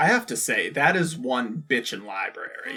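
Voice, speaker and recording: A man puts on a cartoonish character voice, fairly high for a man, with very wide pitch swings. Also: moderate pace. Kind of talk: casual commentary. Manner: chatty, sarcastic.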